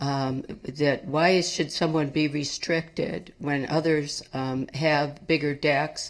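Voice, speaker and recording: A woman's very deep, low-pitched voice with fairly even intonation. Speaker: public commenter at city meeting. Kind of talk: public comment. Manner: slow; hesitant, many fillers.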